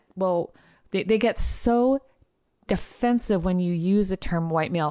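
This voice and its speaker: This woman talks at a moderate pace with lively intonation. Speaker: trial lawyer, podcast host. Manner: agitated, irate, emphatic, repeating for effect.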